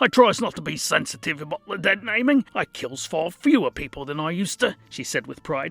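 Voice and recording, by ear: A man's put-on character voice, high in pitch, with very wide pitch swings, big swings in loudness, a fairly quick pace and hardly any pauses.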